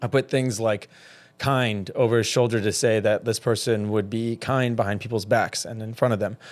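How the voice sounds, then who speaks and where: A man with an American accent talks at a fairly quick pace and a medium pitch. He has a plain, everyday voice, and the recording is very clean with a silent background. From US South, Georgia. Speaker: fitness trainer. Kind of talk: casual chat. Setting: studio.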